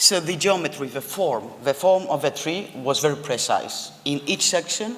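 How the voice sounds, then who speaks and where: Noticeable background noise accompanies a speaker with a non-native accent talking at a moderate pace. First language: not English. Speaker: architect. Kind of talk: lecture.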